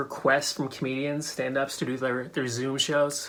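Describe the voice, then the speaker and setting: With an American accent and an unremarkable speaking voice, a man speaks at a moderate pace and a fairly high pitch. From New Hampshire, USA. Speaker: stand-up comedian. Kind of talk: casual talk to camera.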